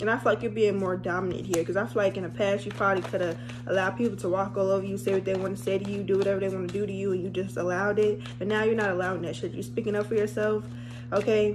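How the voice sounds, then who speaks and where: A woman at a very fast pace, with faint music in the background. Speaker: tarot reader. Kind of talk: casual tarot reading chat. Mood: playful, laughing, blunt. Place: home room. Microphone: phone near.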